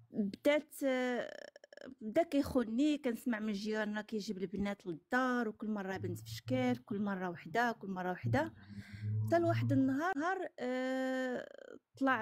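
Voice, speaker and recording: A woman speaks at a fairly slow pace. She has a Moroccan accent. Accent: regional Moroccan dialect recognizable. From Morocco. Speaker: caller sharing personal story. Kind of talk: testimony. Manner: halting.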